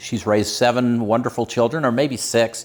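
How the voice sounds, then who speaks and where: A man's unremarkable speaking voice, medium in pitch, at a fairly quick pace. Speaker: emergency preparedness channel host. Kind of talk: casual talk to camera.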